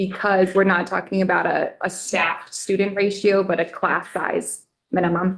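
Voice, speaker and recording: A woman speaks at a moderate pace in a medium pitch, a plain, everyday voice. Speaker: legislative fiscal analyst. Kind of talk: committee testimony.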